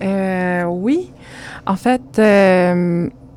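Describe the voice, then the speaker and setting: Lively intonation marks this woman's speech, her pitch medium. Her tone is dark and mellow. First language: Spanish (speaking French). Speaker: visual artist. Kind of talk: interview.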